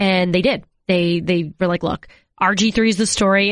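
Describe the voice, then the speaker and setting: A woman with an American accent speaks in an ordinary speaking voice at a fairly quick pace. Her pitch is medium with ordinary variation, over a quiet background. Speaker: sports reporter. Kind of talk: casual interview chat.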